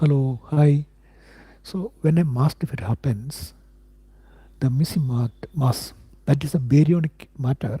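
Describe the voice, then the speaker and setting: A somewhat breathy man with a fairly high pitch and a dark, mellow tone speaks with ordinary pitch variation in a dry, close sound with no echo. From India. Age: 50s. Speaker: independent physics researcher. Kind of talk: live stream talk answering viewers. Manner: halting, many fillers and repetitions.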